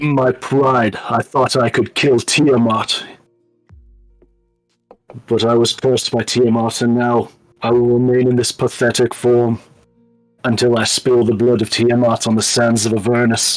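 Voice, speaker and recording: A man uses a put-on character voice that is booming, medium-pitched and monotone with flat intonation. He goes at a moderate pace with long, frequent pauses, and faint music plays in the background. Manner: proud, theatrical.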